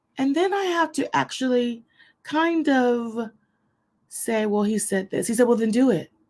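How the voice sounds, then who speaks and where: A woman's loud, high-pitched voice. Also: lively intonation, fairly slow pace. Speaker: online ministry host. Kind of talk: inspirational teaching to an online audience.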